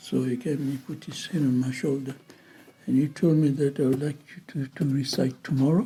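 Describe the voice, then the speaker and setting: A man with a fairly high pitch speaks at a moderate pace in a dark, mellow, somewhat breathy tone, his intonation fairly even. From Zanzibar. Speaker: scholar. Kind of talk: oral history interview. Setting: interview. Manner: halting.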